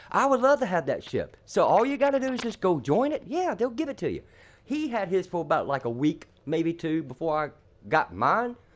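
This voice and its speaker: A man with a high voice and an animated tone, with very wide pitch swings, at a fairly quick pace, against a quiet background. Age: 60s. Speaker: gamer streamer. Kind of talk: casual chat.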